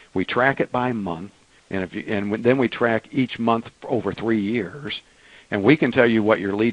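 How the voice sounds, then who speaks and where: A fairly low-pitched man's voice with ordinary pitch variation, dry and close with no echo. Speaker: software company president. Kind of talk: webinar Q&A answers. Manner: fast; hesitant with many fillers and repeats.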